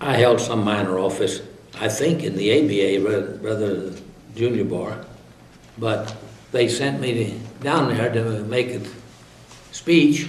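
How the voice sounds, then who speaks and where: A man with an American accent talks at a fairly slow pace and a medium pitch, with ordinary pitch variation, long, frequent pauses and audible room echo. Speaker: retired lawyer. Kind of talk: interview. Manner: halting, frequent uh fillers.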